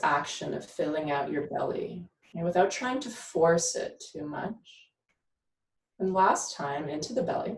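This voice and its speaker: A woman speaks at a medium pitch, her voice somewhat breathy and her intonation lively. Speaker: yoga instructor and doula. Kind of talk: guided breathing exercise. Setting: live video stream. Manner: slow; calm, gentle.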